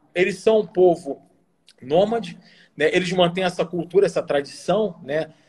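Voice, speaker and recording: A high-pitched male voice at a moderate pace, with ordinary pitch variation. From Rio Grande do Sul, Brazil (Bento Gonçalves). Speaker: military officer. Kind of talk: interview.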